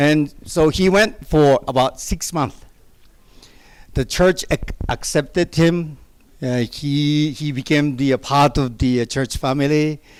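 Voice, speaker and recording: Talking at a fairly slow pace with a Japanese accent, a man has a fairly high voice and ordinary pitch variation. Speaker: pastor. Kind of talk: testimony. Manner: soft-spoken; halting.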